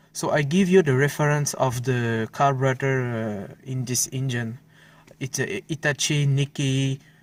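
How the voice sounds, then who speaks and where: A man with a non-native accent speaks at medium pitch and a fairly slow pace. His pitch variation is ordinary, and the recording is very clean with a silent background. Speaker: car hobbyist video maker. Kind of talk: tutorial demonstration. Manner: halting, many fillers.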